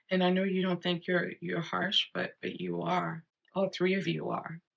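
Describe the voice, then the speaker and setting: Vocal fry runs through this voice at a fairly slow pace. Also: woman. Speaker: astrologer. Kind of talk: casual talk to camera. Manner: animated.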